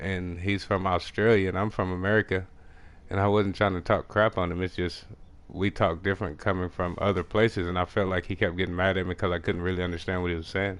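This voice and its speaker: A man mumbles at a very fast pace in a very deep, low voice with a strong rural Texas accent. His intonation stays monotone and flat. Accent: strong country Texas. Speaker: video game streamer. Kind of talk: casual live gameplay commentary. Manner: mumbling.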